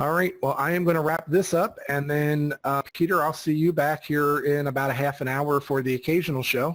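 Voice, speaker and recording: With an American accent and an unremarkable speaking voice, a man talks at a fairly quick pace with hardly any pauses, keeping his fairly high pitch in fairly even intonation. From Philadelphia, US. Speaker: podcast host. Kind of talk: casual chat.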